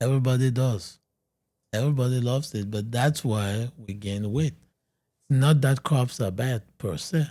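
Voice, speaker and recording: This man has a medium-pitched, somewhat breathy voice with a dark, mellow tone, speaking at a moderate pace with ordinary pitch variation. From Cameroon. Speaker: medical doctor, weight loss expert. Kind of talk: podcast interview.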